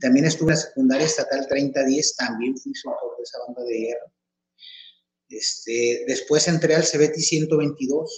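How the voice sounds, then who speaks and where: A man at a fairly slow pace. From Mexico, Tepic (Nayarit) and Chihuahua. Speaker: marching band instructor and coordinator. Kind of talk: interview.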